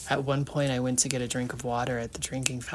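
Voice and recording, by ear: The words are read aloud. It is done in a natural voice.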